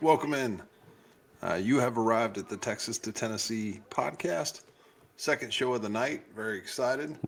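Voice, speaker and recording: With ordinary pitch variation, a man speaks at a medium pitch in an ordinary speaking voice. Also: moderate pace. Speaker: podcast host. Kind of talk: podcast host talk.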